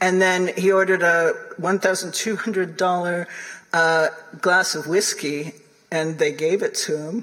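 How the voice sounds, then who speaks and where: Noticeable background noise sits under a woman speaking with an American accent. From US, upstate New York. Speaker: linguist and author. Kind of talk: lecture.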